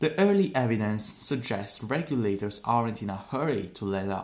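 A man with a non-native accent, fairly low in pitch, fairly slow in pace, with ordinary pitch variation, on a very clean recording with a silent background. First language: not English. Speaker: podcaster practicing English. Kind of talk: reading aloud. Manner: halting.

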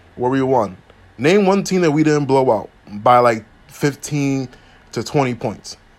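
A man with an American accent talks at a fairly slow pace. His pitch swings very widely. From Philadelphia, US. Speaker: sports podcast host. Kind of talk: solo sports commentary podcast. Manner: casual, many fillers.

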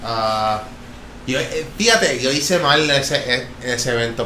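A man speaks with lively intonation. Room echo is audible, and background noise is noticeable. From Florida, US (Jacksonville and Orlando), Puerto Rican family. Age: 20s. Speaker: professional skateboarder, Olympian. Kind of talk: casual interview. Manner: halting, many fillers.

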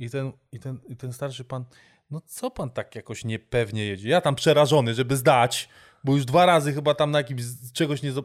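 A medium-pitched man talks fairly quickly in an animated tone, with ordinary pitch variation, big swings in loudness, and a dry, close sound with no echo. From Warsaw, Poland. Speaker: amateur basketball player and voice-over artist. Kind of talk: casual chat.

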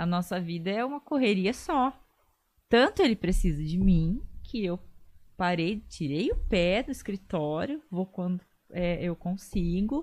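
With an unremarkable speaking voice, a woman talks fairly slowly at a medium pitch, her intonation lively against a quiet background. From Bauru, São Paulo state, Brazil. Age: 30s. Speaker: lawyer and social media influencer. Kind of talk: casual interview chat.

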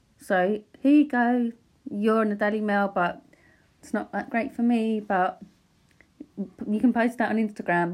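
A woman with an Essex accent speaks at a fairly high pitch and a moderate pace. Her pitch varies in an ordinary way, and she leaves long, frequent pauses. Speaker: paparazzi photographer and podcaster. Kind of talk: casual solo podcast monologue. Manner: unscripted, hesitant with fillers. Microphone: new microphone.

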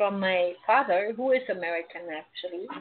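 The speaker uses lively intonation. The voice comes with a German accent. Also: woman. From Germany, Berlin. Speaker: psychic medium. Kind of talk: radio interview.

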